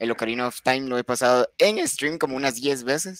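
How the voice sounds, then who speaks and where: Recorded with a dry, close sound and no echo, a man with a normal speaking voice talks at a medium pitch and a moderate pace. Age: 20s. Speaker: streamer. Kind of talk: casual chat.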